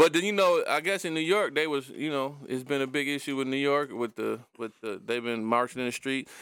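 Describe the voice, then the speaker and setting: Very clean and set against a silent background, the recording has a man talking at a fairly quick pace with a fairly high pitch and ordinary pitch variation. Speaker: podcast host. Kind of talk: casual chat.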